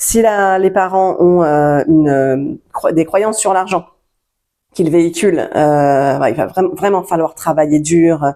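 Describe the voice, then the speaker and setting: Speaking at a very slow pace, a woman has a fairly low pitch, a dark, mellow tone and ordinary pitch variation on a very clean recording with a silent background. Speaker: self-help coach. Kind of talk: tutorial. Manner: halting.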